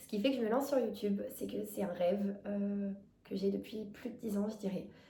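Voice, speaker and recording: With audible room echo and noticeable background noise, a woman talks at a medium pitch and with fairly even intonation. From France, Drôme (near Valence). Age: 20s. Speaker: vlogger. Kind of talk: casual self-introduction vlog. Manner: fast; hesitant, many fillers.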